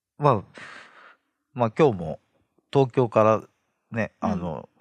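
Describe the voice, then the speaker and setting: A man speaks very slowly, his fairly low voice swinging very widely in pitch. The sound is dry and close with no echo, over a quiet background. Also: long, frequent pauses. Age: 30s. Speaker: interviewee. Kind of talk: interview.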